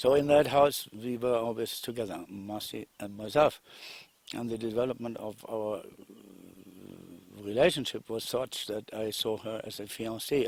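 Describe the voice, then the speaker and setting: A man with a German accent talks at a moderate pace in a medium pitch, with ordinary pitch variation and big swings in loudness. The recording is very clean, with a silent background. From Germany. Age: 60s. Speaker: investor. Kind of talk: testimony. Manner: halting.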